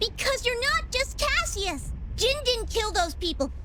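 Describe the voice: A woman performs a cartoonish character voice at an extremely high pitch, with big pitch swings. She speaks at a fairly slow pace over clear background noise.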